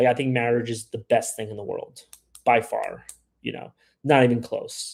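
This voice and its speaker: Pausing long and often, a man with an American accent keeps a moderate pace while his loudness swings widely. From USA. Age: 30s. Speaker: live streamer on travel and dating abroad. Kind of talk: live stream chat answering viewers. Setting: live stream. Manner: casual, filler-heavy with repetitions.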